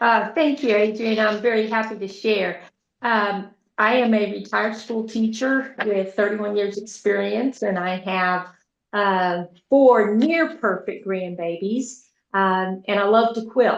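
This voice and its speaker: In an American accent, this is an unremarkable speaking voice with ordinary pitch variation and a fairly slow pace. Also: woman, fairly high pitch for a woman. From Texas. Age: 60s. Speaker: retired school teacher, product testimonial giver. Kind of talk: testimony.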